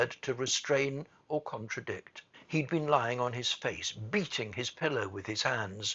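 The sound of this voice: Someone reads in an unforced reading voice, pitch shifting in an ordinary way.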